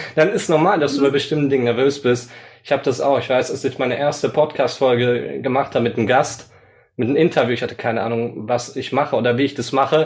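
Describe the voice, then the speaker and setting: Here a man speaks at a very fast pace. His pitch is medium. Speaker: podcast host and coach. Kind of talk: casual interview chat. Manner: animated, energetic.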